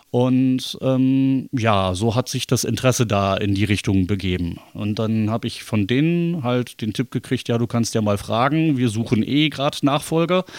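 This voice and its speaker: Speaking at a moderate pace with hardly any pauses, a man uses a medium pitch and ordinary pitch variation. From Bremen, northern Germany. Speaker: theatre lighting technician. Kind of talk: casual interview. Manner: hesitant, many fillers.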